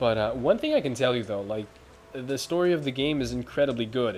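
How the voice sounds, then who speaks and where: Here a man is talking. He speaks at a medium pitch. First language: not English. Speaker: gaming video host. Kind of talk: let's play commentary. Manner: casual with hesitations.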